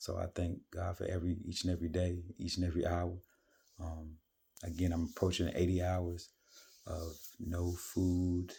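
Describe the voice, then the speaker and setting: Quiet and somewhat breathy, a man speaks at a very deep, low pitch and moderate pace, his tone dark and mellow. His intonation stays monotone and flat in a very clean recording with a silent background. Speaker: vlogger sharing fasting and faith reflections. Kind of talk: casual monologue vlog. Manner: quiet, kept low; hesitant with many fillers.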